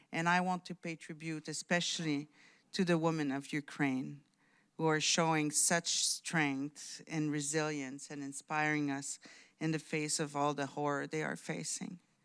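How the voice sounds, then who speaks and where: Speaking at a fairly slow pace, a woman with a slight French Canadian accent uses a very deep, low pitch and a monotone, flat intonation on a very clean recording with a silent background. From Quebec, outskirts of Montreal. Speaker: diplomat. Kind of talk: conference speech. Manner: hesitant, many fillers.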